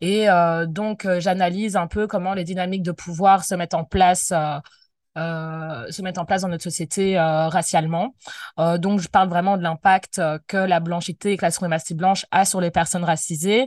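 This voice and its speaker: Against a quiet background, a woman speaks at a fairly low pitch with fairly even intonation, the sound dry and close with no echo. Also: moderate pace. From Belgium, Brussels. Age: 20s. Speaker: anti-racism activist. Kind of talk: interview. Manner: hesitant, many fillers.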